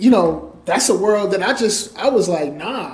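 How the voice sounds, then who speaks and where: Over noticeable background noise, a man with a New York accent and a high pitch talks at a fairly slow pace. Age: 30s. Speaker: entrepreneur and author. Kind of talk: interview.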